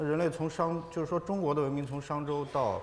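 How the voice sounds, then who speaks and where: A man speaks at a moderate pace, with light background noise in the clip. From China, Ningxia. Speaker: artist and scholar; panelist. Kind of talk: panel discussion. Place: hall.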